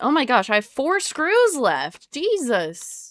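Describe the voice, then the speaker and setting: Her voice showing vocal fry, a woman swings very widely in pitch. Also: very clean recording, silent background. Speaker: livestreamer. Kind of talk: casual chat. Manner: loud.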